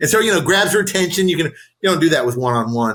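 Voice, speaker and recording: An animated man with an American accent and lively intonation. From US West Coast (San Diego). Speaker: nonprofit coach, former nonprofit CEO. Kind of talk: casual interview chat. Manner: loud.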